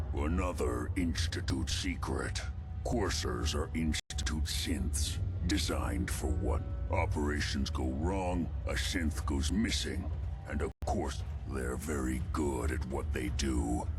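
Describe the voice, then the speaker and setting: Over loud background noise, a man puts on a character voice and speaks at a fairly slow pace. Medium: machinima. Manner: articulate, wary.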